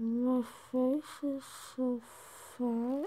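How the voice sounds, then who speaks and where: Monotone, flat intonation pairs with a dark, mellow tone. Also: woman, high pitch for a woman. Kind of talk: casual vlog chat. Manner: groggy, swollen-mouthed, lying on pillow. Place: home room. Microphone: phone near.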